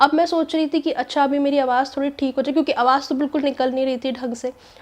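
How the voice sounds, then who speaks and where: High-pitched female speech at a fairly quick pace, monotone and flat in intonation. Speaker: vlogger. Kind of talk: casual vlog talk.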